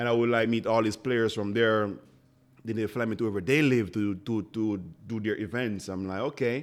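With a Jamaican accent, a man talks at a fairly quick pace in a medium pitch. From rural Jamaica. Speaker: chef and restaurant owner. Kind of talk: casual interview. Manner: animated.

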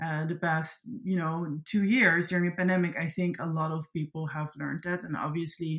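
A somewhat breathy woman's voice with a Dutch accent. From Netherlands. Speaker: content creator and creative agency founder. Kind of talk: interview.

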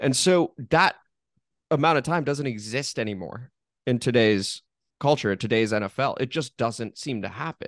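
A man with an ordinary speaking voice talks at a moderate pace and medium pitch, his intonation lively. The very clean recording has a silent background and a dry, close sound with no echo. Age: 30s. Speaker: sports podcast host. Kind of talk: casual chat.

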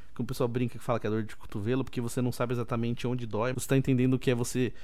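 A man's medium-pitched, dark and mellow voice at a very fast pace, with audible room echo. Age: 30s. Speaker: podcast host. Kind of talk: casual solo podcast talk. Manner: animated.

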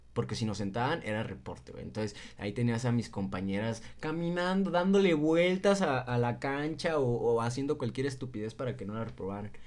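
A man talks at a fairly quick pace with hardly any pauses, his pitch medium. He has an ordinary speaking voice and lively intonation. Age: 20s. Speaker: podcast co-host. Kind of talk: casual chat.

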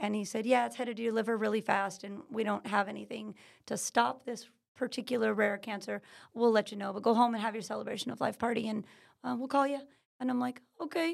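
Vocal fry at a very fast pace, with an American accent. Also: woman, fairly high pitch for a woman, ordinary pitch variation. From California. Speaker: natural healing business owner. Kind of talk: interview. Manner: energetic.

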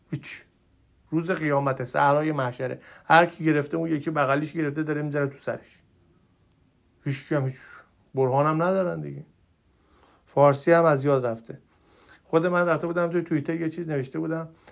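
A man speaks at a fairly quick pace in an Isfahan accent, his pitch fairly high and his tone animated. Long pauses break up his speech often. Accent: Najafabadi (Isfahan) accent, still present. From Iran, Najafabad. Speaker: podcaster, political commentator. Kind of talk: solo monologue, political commentary. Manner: animated, exasperated.

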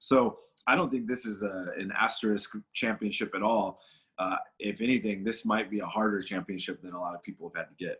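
Speaking fast-ish with an American accent, a man uses a plain, everyday voice, fairly low in pitch, with ordinary pitch variation and big swings in loudness. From Los Angeles, California. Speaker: professional wrestler. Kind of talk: casual interview chat.

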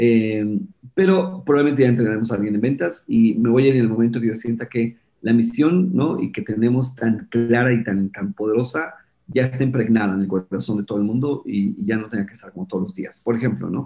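A man with an unremarkable speaking voice at medium pitch talks at a fairly quick pace with lively intonation. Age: 50s. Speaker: entrepreneur and productivity specialist. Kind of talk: interview.

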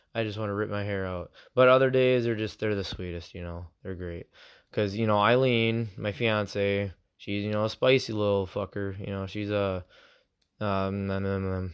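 A man with an American accent has a plain, everyday voice, fairly low in pitch and fairly even in intonation. He speaks at a moderate pace on a very clean recording with a silent background. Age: 20s. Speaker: podcaster and National Guard soldier. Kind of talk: casual solo podcast monologue. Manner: rambling, casual, self-conscious.

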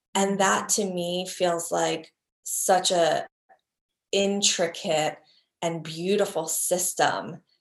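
Speaking very slowly with long, frequent pauses, a woman uses a fairly low pitch and a monotone, flat intonation. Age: 40s. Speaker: priestess and flower essence teacher. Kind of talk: interview.

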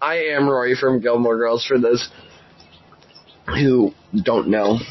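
Over noticeable background noise, a man talks at a very slow pace with fairly even intonation and very even loudness. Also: medium pitch for a man. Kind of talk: casual chat.

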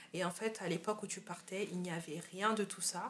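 A woman's monotone, flat intonation at a fairly slow pace. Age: young. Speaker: podcast host. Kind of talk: interview.

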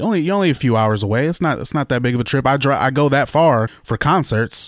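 At a fairly quick pace, a man speaks at a medium pitch. The recording is very clean and dry, close with no echo and a silent background. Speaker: podcast host. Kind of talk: casual chat. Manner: animated.

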